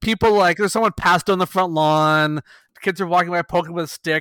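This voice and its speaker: In an unremarkable speaking voice with a Canadian accent, a man speaks at a fairly quick pace and fairly high pitch with ordinary pitch variation, on a very clean recording with a silent background and a dry, close sound with no echo. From Canada. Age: 40s. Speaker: podcast co-host. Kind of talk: casual chat.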